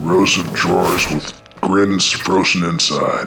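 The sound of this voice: A man uses a put-on character voice that is low-pitched and bright, sharp in tone, with vocal fry and fairly even intonation at a slow pace. Faint music plays in the background, and the room echo is audible.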